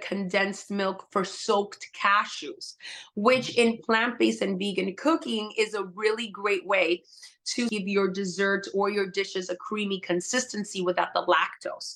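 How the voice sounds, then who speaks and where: A woman's normal speaking voice, fairly slow, at medium pitch with ordinary pitch variation. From Puerto Rican household, US. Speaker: holistic health coach and cookbook author. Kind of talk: interview.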